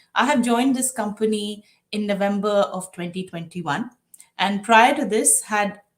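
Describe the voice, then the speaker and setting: A woman with an Indian accent speaks with ordinary pitch variation. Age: 40s. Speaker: diversity and inclusion executive. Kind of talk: interview.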